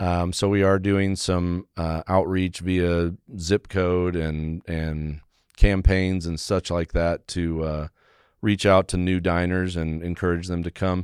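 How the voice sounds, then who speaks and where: On a very clean recording with a silent background and a dry, close sound with no echo, a man with an American accent speaks very slowly in a very deep, low voice with monotone, flat intonation. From Texas Panhandle (Amarillo). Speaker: pizzeria owner. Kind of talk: interview.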